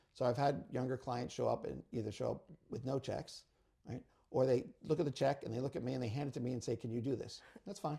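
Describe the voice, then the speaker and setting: Very fast and somewhat breathy, a man speaks at a medium pitch with ordinary pitch variation and a dark, mellow tone. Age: 60s. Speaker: real estate attorney. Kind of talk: casual interview, giving advice.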